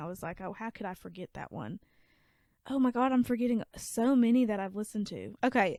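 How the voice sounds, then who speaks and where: A woman with a strong Southern US accent talks at a fairly quick pace and fairly high pitch. The sound is dry and close with no echo, on a very clean recording with a silent background. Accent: thick Southern. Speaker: podcast co-host. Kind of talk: casual chat.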